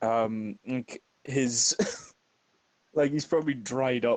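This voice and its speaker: A man with a Northern Irish accent speaks at a medium pitch in a dark, mellow tone. His intonation is fairly even. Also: dry, close sound with no echo. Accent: Northern Irish inflection. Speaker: gaming streamer and voice performer. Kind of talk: casual chat. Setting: live stream.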